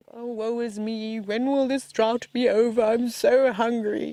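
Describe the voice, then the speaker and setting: This put-on character voice sits at a fairly high pitch and moves at a fairly slow pace with monotone, flat intonation. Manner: woeful, mopey.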